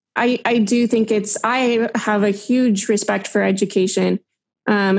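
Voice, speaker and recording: A woman with an American accent uses a normal speaking voice at medium pitch with fairly even intonation. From Arizona, US. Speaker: K-1 visa plaintiff. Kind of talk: casual interview.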